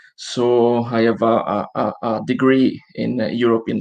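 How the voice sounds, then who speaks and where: A man with an Italian accent speaks at medium pitch with ordinary pitch variation. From Italy. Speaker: social enterprise director. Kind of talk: live online interview. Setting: video call from home.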